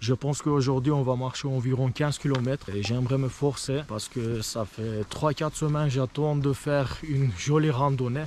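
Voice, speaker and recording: Speaking with hardly any pauses and fairly even intonation, a man talks over noticeable background noise. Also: medium pitch for a man, moderate pace. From Turkey. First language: Turkish (speaking French). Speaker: vlogger. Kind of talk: hiking vlog narration. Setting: outdoors. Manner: halting.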